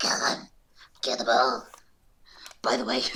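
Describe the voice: A put-on character voice, raspy and low-to-middle in pitch, moves at a moderate pace.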